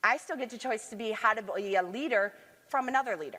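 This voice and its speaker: Loud and animated, a woman speaks with an American accent. She keeps a moderate pace. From Michigan, US. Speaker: leadership consultant and conference speaker. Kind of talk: conference talk. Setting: stage with audience.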